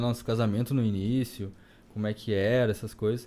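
At a moderate pace, a man talks in a dark, mellow tone at medium pitch with monotone, flat intonation. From southern Brazil, Rio Grande do Sul (Campo Bom). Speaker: bodybuilder and barbershop entrepreneur. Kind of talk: casual chat.

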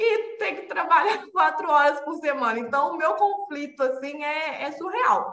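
Very wide pitch swings in a raised, projected voice. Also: woman. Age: 20s. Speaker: project management professional.

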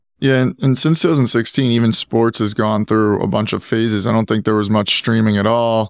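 Recorded very cleanly with a silent background and a dry, close sound with no echo, a man speaks at a fairly low pitch. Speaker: podcast host. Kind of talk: interview conversation.

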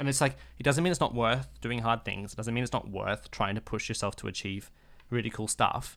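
A man with an Australian accent speaks at a fairly quick pace in a medium pitch, with ordinary pitch variation and some vocal fry. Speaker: podcast co-host. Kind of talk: casual chat.

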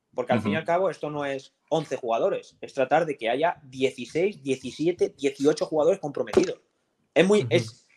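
A man speaks in an ordinary speaking voice, his pitch fairly high for a man. The pace is moderate, with ordinary pitch variation. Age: 20s. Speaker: professional footballer. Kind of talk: casual chat.

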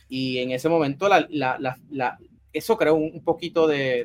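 This is a man talking. His pitch is fairly high. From Puerto Rico, San Juan area. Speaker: sports journalist. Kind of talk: interview. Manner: halting, frequent repetitions.

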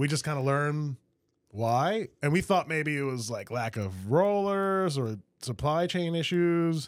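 On a very clean recording with a silent background, a man with an unremarkable speaking voice talks at a fairly slow pace, his fairly high pitch carrying lively intonation. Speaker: podcast host. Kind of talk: casual interview chat.

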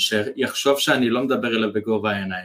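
Speaking in an unremarkable speaking voice, the man keeps a moderate pace, and his medium pitch shows ordinary variation. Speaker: copywriter and business mentor. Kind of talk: interview conversation.

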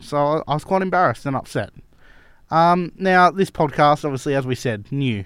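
A man with an Australian accent speaks at a moderate pace with ordinary pitch variation on a very clean recording with a silent background. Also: fairly high pitch for a man. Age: 20s. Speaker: cricket club podcast host. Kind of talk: casual chat.

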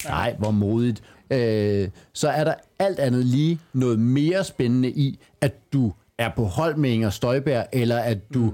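A man talks at a very slow pace with very even loudness and ordinary pitch variation. His medium-pitched voice has a dark, mellow tone. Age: 40s. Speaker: stand-up comedian. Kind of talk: casual chat.

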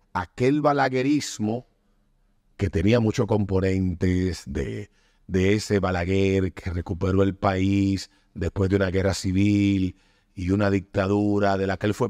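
A man's plain, everyday voice, fairly low in pitch, against a quiet background. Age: 40s. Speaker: podcast host. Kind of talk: casual chat.

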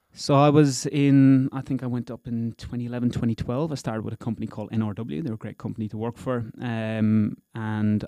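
In an Irish accent, a man speaks at a fairly quick pace with hardly any pauses, his medium-pitched voice dark and mellow with fairly even intonation, in a dry, close sound with no echo against a quiet background. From Ireland, County Wexford. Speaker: company founder. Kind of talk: casual interview. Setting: studio.

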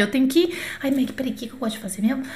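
Someone speaks in a raised, projected voice with an animated tone over noticeable background noise. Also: woman. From Brazil. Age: 40s. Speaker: French teacher. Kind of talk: online lesson. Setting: YouTube livestream.

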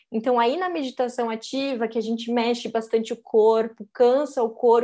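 Ordinary pitch variation from a woman, in a very clean recording against a silent background. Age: 30s. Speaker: meditation teacher. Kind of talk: casual chat.

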